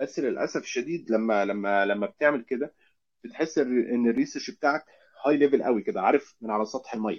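Set against a quiet background, a man with a normal speaking voice talks at a moderate pace with ordinary pitch variation. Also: medium pitch for a man. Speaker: UX research lead. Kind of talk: casual interview.

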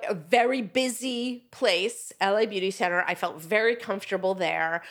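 Speaking with an American accent, a woman's fairly high-pitched voice shows ordinary pitch variation on a very clean recording with a silent background. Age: 50s. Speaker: author and publisher. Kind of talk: casual chat.

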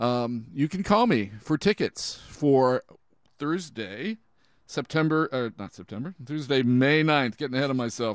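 An unremarkable speaking voice from a man of medium pitch, fairly slow in pace, with lively intonation. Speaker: radio host. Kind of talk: radio show hosting, interview. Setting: studio, guest on Zoom.

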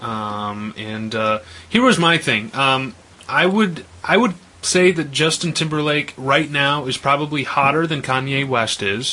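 A man with an American accent speaks at a fairly slow pace with lively intonation and a fairly high pitch. Noticeable background noise can be heard. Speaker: radio host. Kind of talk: casual chat. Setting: studio.

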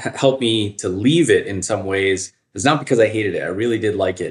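Recorded very cleanly against a silent background, a man with an American accent speaks at a fairly quick pace. His fairly low voice is somewhat breathy. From Northern Virginia. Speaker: emergency physician, chief medical officer. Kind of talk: interview.

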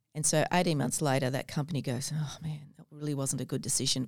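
A woman's very deep, low voice in an Australian accent, very fast with fairly even intonation and big swings in loudness, on a very clean recording with a silent background. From Australia, Gold Coast. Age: 50s. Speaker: businesswoman and mentor. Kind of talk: interview. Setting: studio.

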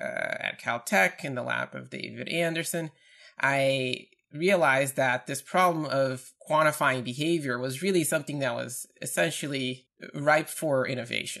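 With a Portuguese accent, a man speaks at a fairly slow pace. His voice is fairly high for a man and shows ordinary pitch variation. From Brazil, Campinas, São Paulo. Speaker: PhD researcher in neuroscience. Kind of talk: interview.

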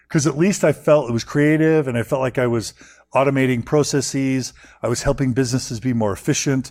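With an American accent, a man talks at a fairly quick pace in a plain, everyday voice of medium pitch and ordinary pitch variation, on a very clean recording with a silent background. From Texas. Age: 40s. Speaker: podcaster. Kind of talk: interview.

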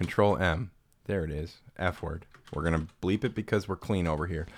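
On a very clean recording with a silent background, a man speaks at a moderate pace with a very deep, low pitch and ordinary pitch variation. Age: 30s. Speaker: podcast host. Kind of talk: casual chat.

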